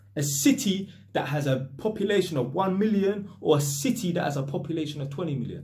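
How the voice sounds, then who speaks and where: The voice belongs to a man. He talks with lively intonation. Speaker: vlogger. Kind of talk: casual vlog chat. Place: home room. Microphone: phone near.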